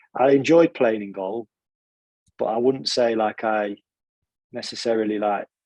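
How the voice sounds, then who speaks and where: A man speaks with a Nottingham accent and ordinary pitch variation, recorded with a dry, close sound and no echo. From Nottingham, England (born in Italy). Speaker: football goalkeeping coach. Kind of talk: podcast interview.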